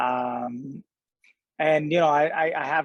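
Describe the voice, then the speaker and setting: A man speaks with a Spanish accent and fairly even intonation. The sound is dry and close, with no echo. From Colombia. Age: 40s. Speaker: singer-songwriter. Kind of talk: podcast interview. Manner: halting, many fillers.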